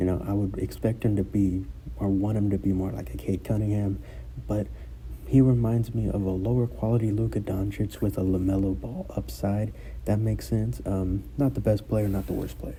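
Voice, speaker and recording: A man's very deep, low voice at a moderate pace, with very wide pitch swings and audible room echo. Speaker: sports commentator YouTuber. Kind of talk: casual sports breakdown. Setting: school room during conference period. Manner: hesitant, many fillers.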